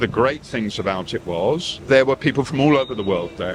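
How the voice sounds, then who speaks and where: Noticeable noise runs in the background as a man talks. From southern England. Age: 60s. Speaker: retired journalist and author, interviewee. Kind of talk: street interview.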